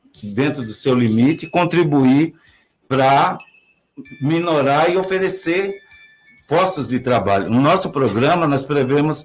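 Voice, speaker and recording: With music in the background, a man speaks fairly slowly in a fairly high voice with ordinary pitch variation. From Brazil, Piracicaba (São Paulo state). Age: 60s. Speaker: mayoral candidate, retired civil servant. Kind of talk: political interview. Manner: halting.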